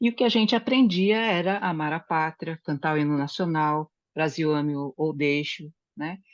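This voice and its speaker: Against a quiet background, a woman with very deep, low pitch speaks at a moderate pace with lively intonation, the sound dry and close with no echo. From Brazil. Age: 60s. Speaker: study group participant. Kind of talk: group discussion, personal testimony. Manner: halting, with many fillers.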